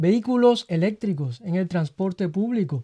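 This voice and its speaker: A man's high voice with a dark, mellow tone and very wide pitch swings, at a fairly slow pace against a quiet background. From Cuba, Havana. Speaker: radio staff member telling his life story. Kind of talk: casual interview. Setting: radio studio.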